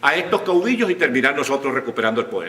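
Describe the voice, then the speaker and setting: A high-pitched man talks with lively intonation, noticeable background noise behind him. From Venezuela. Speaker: writer, journalist, broadcaster and politician. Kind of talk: conference talk.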